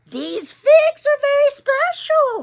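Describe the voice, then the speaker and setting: The put-on character voice is squeaky. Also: woman, extremely high pitch for a woman, ordinary pitch variation. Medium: read story. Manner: hushed, whispering.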